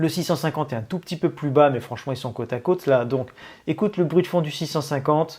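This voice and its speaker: A very fast, somewhat breathy man with ordinary pitch variation, on a very clean recording with a silent background. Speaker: tech reviewer youtuber. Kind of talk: product review tutorial. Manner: casual, many hesitations.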